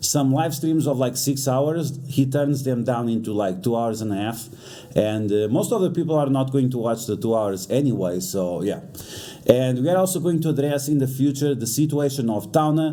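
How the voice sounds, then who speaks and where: With a non-native accent, a man talks at a moderate pace and medium pitch, showing ordinary pitch variation, and room echo can be heard. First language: not English. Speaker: YouTuber reacting to drama. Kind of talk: reaction commentary. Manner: halting, many fillers.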